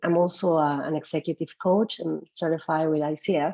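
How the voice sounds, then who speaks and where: Speaking at a moderate pace with a slight Peruvian accent, a woman holds a fairly low pitch in a monotone, flat delivery. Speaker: psychologist and executive coach. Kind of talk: webinar talk.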